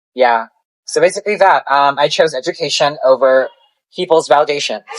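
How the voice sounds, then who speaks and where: Speaking at a fairly quick pace, a woman with a very deep, low pitch keeps her loudness very even and her pitch variation ordinary. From Philippines. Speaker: psychology student. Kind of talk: casual chat. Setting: podcast recording.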